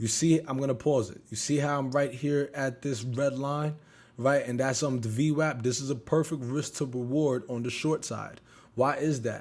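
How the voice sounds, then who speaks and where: A man in an ordinary speaking voice, medium pitch, moderate pace and fairly even intonation. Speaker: options trader and trading youtuber. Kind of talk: trading recap tutorial.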